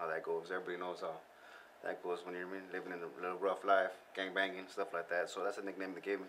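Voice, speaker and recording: A man's very deep, low voice with an American accent, very fast and flat in monotone, over noticeable background noise. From US West Coast (San Gabriel Valley, Southern California). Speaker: rapper. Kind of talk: casual interview chat. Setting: studio.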